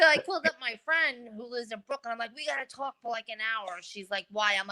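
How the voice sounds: Talking at a very fast pace with a New York accent, a woman uses a fairly high pitch, lively intonation and big swings in loudness, in a dry, close sound with no echo.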